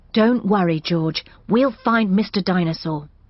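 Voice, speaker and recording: At a medium pitch and a moderate pace, a female-sounding cartoonish character voice speaks. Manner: calm, gentle, proper.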